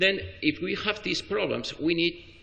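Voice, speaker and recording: There is vocal fry in this man's voice, and he speaks with a Spanish accent. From Spain. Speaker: spine surgeon. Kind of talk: conference talk. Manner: halting, many fillers and restarts.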